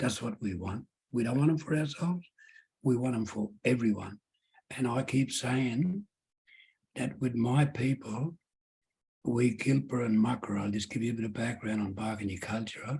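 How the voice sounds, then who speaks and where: The speaker talks at a moderate pace with long, frequent pauses, a somewhat breathy voice and ordinary pitch variation. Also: man, medium pitch for a man. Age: 70s. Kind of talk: Q&A at public lecture.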